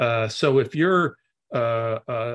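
Somewhat breathy, a man speaks at a fairly slow pace. The background is quiet. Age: 60s. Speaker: investment executive. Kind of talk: interview. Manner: halting.

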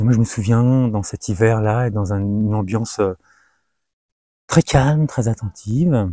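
With a dark, mellow tone and medium pitch, a man speaks fairly slowly with long, frequent pauses and ordinary pitch variation, in a very clean, dry, close recording with no echo and a silent background. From France, Algerian parents. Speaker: meditation practitioner sharing testimony. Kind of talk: testimony. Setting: outdoors among trees. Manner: halting.

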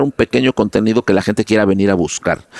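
Speaking very fast with an animated tone, a man uses a fairly low voice with ordinary pitch variation and a Mexican accent. The sound is dry and close, without echo. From Mexico. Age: 50s. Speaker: advertising executive. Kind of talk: interview.

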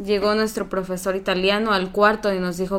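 A woman has an unremarkable speaking voice at medium pitch. Her intonation stays fairly even. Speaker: youtuber. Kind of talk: casual chat.

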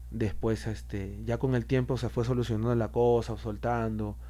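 A man with a Peruvian accent speaks at a fairly slow pace. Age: 30s. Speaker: rapper. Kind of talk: interview. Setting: studio.

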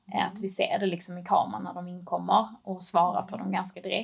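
This woman talks at a medium pitch with vocal fry. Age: 20s. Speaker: e-commerce manager. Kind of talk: casual interview.

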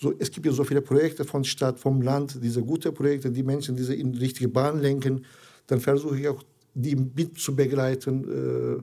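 Medium in pitch, a man with a Turkish accent speaks in a dark, mellow tone with monotone, flat intonation. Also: moderate pace. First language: Turkish (speaking German). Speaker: integration charity founder. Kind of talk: interview. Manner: halting, many hesitations.

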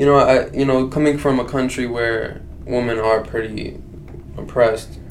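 Speaking at a medium pitch and a moderate pace with monotone, flat intonation, a man is heard with noticeable background noise and audible room echo. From Iraq (Baghdad). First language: Arabic. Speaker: entrepreneur and event organizer. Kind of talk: casual interview chat.

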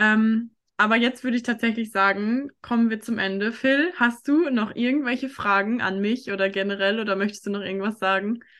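Speaking at a moderate pace with hardly any pauses, a woman uses a fairly high pitch and ordinary pitch variation against a quiet background. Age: 20s. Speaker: podcast host and life coach. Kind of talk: casual interview chat. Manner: animated.

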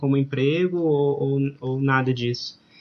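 A man is talking. His pace is very slow. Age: 30s. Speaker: ballroom dance teacher. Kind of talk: casual interview.

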